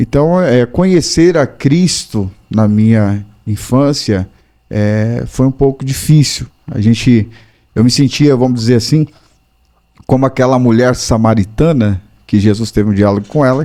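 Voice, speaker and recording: Moving at a fairly slow pace, this dark, mellow tone carries ordinary pitch variation. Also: man, medium pitch for a man. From northern Brazil. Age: 40s. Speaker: pastor and para-athlete. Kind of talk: interview testimony. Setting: podcast studio.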